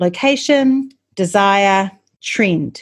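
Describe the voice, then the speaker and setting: Medium-pitched female voice with a New Zealand accent, on a very clean recording with a silent background. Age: 40s. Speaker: marketing podcast host. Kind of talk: solo podcast teaching talk.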